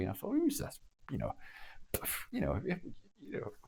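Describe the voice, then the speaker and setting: A man speaks in a Glaswegian accent with a dark, mellow tone. The recording is very clean, with a silent background. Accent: Glaswegian Scottish. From Scotland, Glasgow (Cardonald). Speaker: former army officer and diplomat. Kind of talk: interview storytelling. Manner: halting, many false starts.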